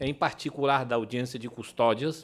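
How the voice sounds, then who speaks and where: A man with a non-native accent speaks at a medium pitch in a very clean recording with a silent background. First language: Spanish (speaking Portuguese). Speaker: legal expert speaker. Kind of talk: lecture. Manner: halting.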